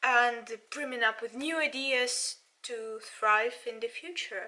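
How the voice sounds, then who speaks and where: In a Russian accent, a woman projects a raised voice at a high pitch, moving fairly slowly with very wide pitch swings. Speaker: politics student and channel owner. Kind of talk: video commentary. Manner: halting.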